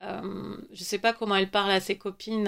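A woman speaks at a moderate pace, medium in pitch and monotone with flat intonation. The recording is very clean, with a silent background. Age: 30s. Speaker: novelist. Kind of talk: interview. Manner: halting.

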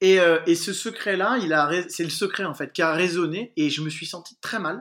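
This man is captured in a very clean recording against a silent background. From Paris, France. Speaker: dentist. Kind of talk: casual chat.

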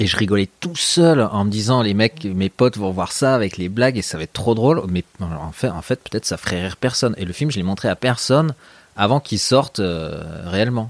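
Using a plain, everyday voice, a man speaks with lively intonation, a fairly low pitch and a fairly quick pace, recorded dry and close with no echo. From Paris region, France (Meudon suburbs). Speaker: snowboard photographer and filmmaker. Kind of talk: casual chat. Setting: at home in his kitchen.

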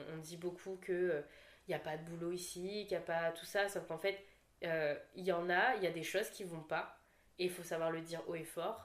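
In a plain, everyday voice, a woman speaks at a moderate pace. Her pitch is fairly low, with fairly even intonation. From Réunion (La Saline). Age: 20s. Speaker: content creator. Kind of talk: casual chat.

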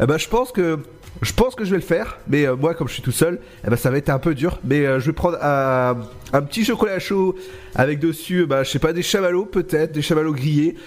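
Lively intonation at a fairly quick pace, over noticeable background noise. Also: man, fairly high pitch for a man. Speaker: radio host. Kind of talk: radio show hosting. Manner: casual, chatty, relaxed, slightly stumbling.

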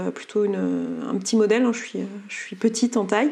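This woman's voice sits at medium pitch. Her tone is dark and mellow. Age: 30s. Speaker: coach and entrepreneur. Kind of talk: testimony. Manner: halting.

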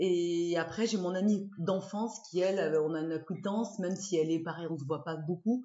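Fairly low pitch from a woman, a fairly quick delivery, and ordinary pitch variation. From southwest France, Dordogne (Bergerac). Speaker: former fashion journalist, rugby player's wife. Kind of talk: interview. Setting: at home. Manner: animated.

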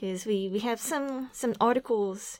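The speaker talks at a fairly slow pace with a Japanese accent and ordinary pitch variation on a very clean recording with a silent background. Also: woman. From Japan, Aichi Prefecture. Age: 30s. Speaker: activist. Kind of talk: interview. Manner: halting.

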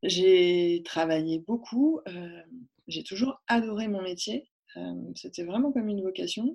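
A woman at a very slow pace, medium pitch and lively intonation, with long, frequent pauses. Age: 30s. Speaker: workplace wellbeing consultant. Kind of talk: interview. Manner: hesitant, many fillers.

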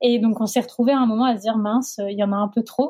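Somewhat breathy woman, fairly high in pitch, with fairly even intonation. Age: 30s. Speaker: sociologist. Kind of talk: testimony.

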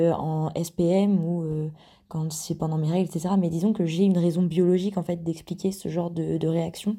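This woman has a fairly low pitch and a dark, mellow tone, speaking at a moderate pace in a monotone, flat intonation. The recording is very clean, with a silent background. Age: 20s. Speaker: listener sharing a testimony. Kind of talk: testimony.

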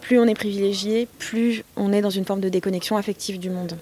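A woman of medium pitch at a fairly quick pace, with noticeable background noise. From France, near Notre-Dame-des-Landes. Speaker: author and journalist. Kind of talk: interview. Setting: summer university of social movements in Nantes.

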